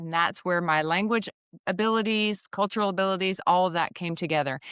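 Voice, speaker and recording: On a very clean recording with a silent background and a dry, close sound with no echo, a woman with a Southern US accent talks fairly quickly at a medium pitch. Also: ordinary pitch variation. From Alabama, US South. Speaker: executive recruiter. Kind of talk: podcast interview.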